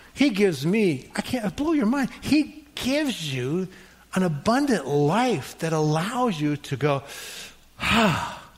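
This man has a high pitch that swings very widely as he speaks at a very slow pace. Noticeable background noise is present. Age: 60s. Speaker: pastor. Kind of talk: sermon. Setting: church.

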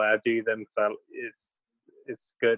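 A man with a medium pitch speaks at a moderate pace. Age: 20s. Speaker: rally driver. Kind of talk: casual interview. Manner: halting, many fillers.

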